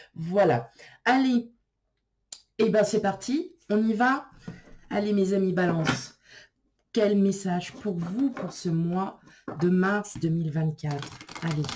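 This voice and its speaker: A woman speaks at a very slow pace with lively intonation, a somewhat breathy voice, and long, frequent pauses. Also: medium pitch for a woman. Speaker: tarot card reader. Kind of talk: tarot reading video. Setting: filmed on camera. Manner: casual, hesitant with fillers.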